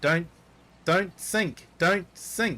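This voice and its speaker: A robotic, put-on character voice at a middle pitch. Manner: repeated warning.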